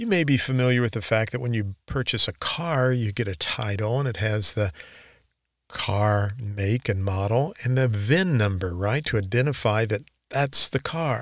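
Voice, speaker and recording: A man's plain, everyday voice at medium pitch, ordinary pitch variation and a moderate pace, in a very clean recording with a silent background. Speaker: real estate instructor podcaster. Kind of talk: educational podcast monologue, casual. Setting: home sound booth studio. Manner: relaxed, friendly, upbeat.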